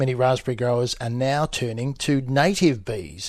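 A man at a medium pitch and moderate pace, a normal speaking voice against a quiet background. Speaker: radio host. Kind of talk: live radio presenting and news reading.

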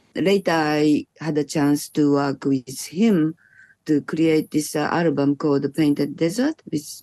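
A woman speaks at a fairly slow pace in a very deep, low pitch. Her dark, mellow tone sounds dry and close, with no echo. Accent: Japanese. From Japan. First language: Japanese. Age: 60s. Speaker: electronic musician. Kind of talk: interview. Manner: halting.

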